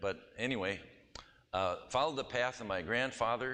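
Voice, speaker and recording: In a Wisconsin accent, a man with a bright, sharp tone and ordinary pitch variation speaks amid audible room echo. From US Midwest (Wisconsin, Milwaukee). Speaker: pastor and missionary. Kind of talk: church presentation. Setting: church. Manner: casual, anecdotal.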